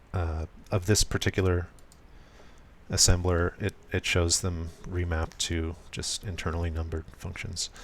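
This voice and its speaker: Soft-spoken and somewhat breathy, a man talks at a moderate pace in a very deep, low voice. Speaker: programmer live streaming. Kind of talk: live coding tutorial. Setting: live stream. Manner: soft, smooth delivery; hesitant, many fillers.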